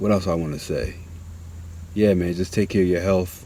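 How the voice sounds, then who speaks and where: A man mumbles at a fairly quick pace, in a very deep, low pitch with a dark, mellow tone. His intonation stays monotone and flat. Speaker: vlogger. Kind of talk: casual monologue. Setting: outdoors. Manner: mumbling; halting.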